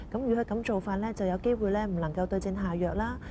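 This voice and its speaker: A woman with a Hong Kong accent speaks at a fairly quick pace in a somewhat breathy voice, with noticeable background noise. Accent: Hong Kong Cantonese. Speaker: pharmacist. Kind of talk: explanatory interview. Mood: calm, instructive. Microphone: lapel.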